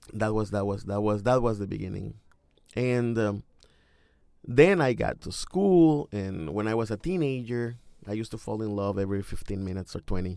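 A man's fairly low voice with a dark, mellow tone and a Mexican accent at a fairly quick pace, on a very clean recording with a silent background. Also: ordinary pitch variation. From Mexico. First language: Spanish. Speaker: poet and high school English teacher. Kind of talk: interview. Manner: hesitant, with fillers.

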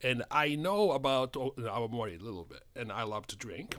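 With a Japanese accent, a man at medium pitch speaks at a moderate pace with vocal fry and very wide pitch swings. The recording is very clean, with a silent background. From Japan, Tokyo. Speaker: spirits importer. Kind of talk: casual chat. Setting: studio.

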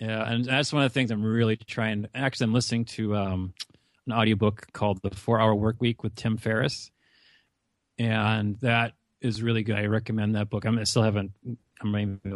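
A man with an Upper Midwest accent, fairly low in pitch, at a fairly quick pace with monotone, flat intonation and a quiet background. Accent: Upper Midwest American, mild. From US Upper Midwest, North Dakota. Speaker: college advisor and podcaster. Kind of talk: casual interview.

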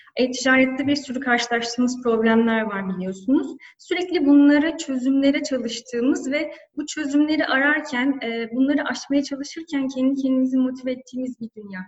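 A high-pitched woman at a fairly quick pace, with hardly any pauses and ordinary pitch variation. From Turkey, Antalya. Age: 30s. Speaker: e-commerce manager. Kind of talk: interview. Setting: office, remote call. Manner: hesitant fillers.

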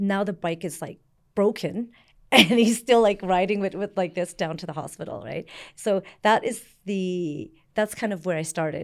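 A woman with a Canadian accent, an ordinary speaking voice and a medium pitch talks at a moderate pace in a very clean recording with a silent background. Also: ordinary pitch variation. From Canada, born in Vietnam. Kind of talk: interview. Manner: casual, with many fillers.

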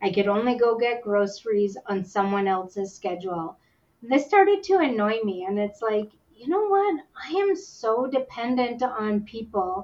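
In a Canadian accent, a woman with a plain, everyday voice speaks at a fairly high pitch and a moderate pace with lively intonation. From Yukon, Canada. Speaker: visually impaired guide dog user. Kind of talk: interview, personal story.

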